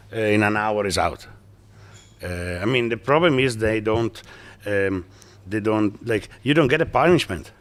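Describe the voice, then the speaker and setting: Speaking with long, frequent pauses, a man talks in a fairly low pitch. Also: ordinary pitch variation, moderate pace. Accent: Italian. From northeast Italy, near Venice. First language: Italian. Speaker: businessman. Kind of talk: interview. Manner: halting.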